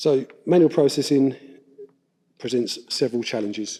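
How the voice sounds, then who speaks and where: Mumbling at a fairly slow pace, a man speaks in a medium pitch with a dark, mellow tone and ordinary pitch variation. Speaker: council IT development manager, conference presenter. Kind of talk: conference presentation.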